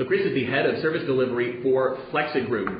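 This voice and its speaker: A man with an American accent talks at a very fast pace with ordinary pitch variation. Room echo is audible, and there is noticeable background noise. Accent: non-Australian, American. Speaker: event host and moderator. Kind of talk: hosted panel discussion. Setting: studio panel event. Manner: hesitant, many filler uhs.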